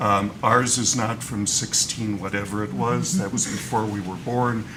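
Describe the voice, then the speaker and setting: Amid noticeable background noise and audible room echo, a man with an American accent speaks at a fairly low pitch and a moderate pace, with ordinary pitch variation. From United States. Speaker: arbitration lawyer. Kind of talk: panel discussion. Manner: halting, many fillers.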